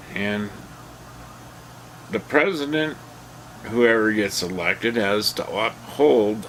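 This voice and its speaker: A man with an American accent speaks very slowly in a fairly low voice with ordinary pitch variation, and there is noticeable background noise. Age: 60s. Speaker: political commentary vlogger. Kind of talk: casual opinion monologue.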